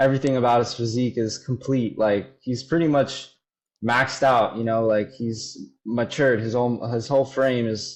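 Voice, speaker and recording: A man speaks at a moderate pace with an American accent. His medium pitch stays flat and monotone. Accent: slight Polish accent sometimes. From Florida, Polish family. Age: 20s. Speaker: bodybuilder. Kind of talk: casual chat.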